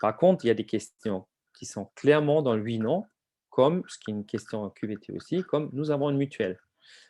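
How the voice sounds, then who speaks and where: A man's dark, mellow voice at a moderate pace, with ordinary pitch variation and a dry, close sound with no echo. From outside France. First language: not French (speaking French). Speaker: HR survey software presenter. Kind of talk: webinar presentation. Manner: hesitant, many fillers.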